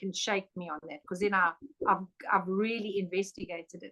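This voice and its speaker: With a plain, everyday voice, a woman speaks at a moderate pace in fairly even intonation. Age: 60s. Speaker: angel expert and spiritual teacher. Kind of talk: casual chat.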